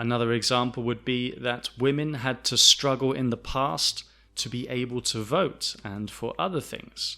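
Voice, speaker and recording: Music plays in the background as a man speaks with a southern English accent. His pitch is medium, with ordinary variation. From south of England. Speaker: English teacher. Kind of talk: lesson. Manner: slow, clear.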